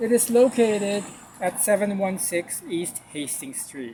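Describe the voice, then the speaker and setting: A man with a Filipino accent. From Philippines. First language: Tagalog. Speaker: art video blogger. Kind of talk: gallery walkthrough vlog. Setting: outside and inside an art gallery.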